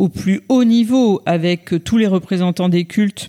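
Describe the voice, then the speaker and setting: On a very clean recording with a silent background, a woman with a medium pitch speaks at a fairly slow pace in a dark, mellow tone. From France, Auvergne (Clermont-Ferrand). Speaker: former political communications director and author. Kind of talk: interview. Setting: hotel room. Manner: hesitant, many fillers and repetitions.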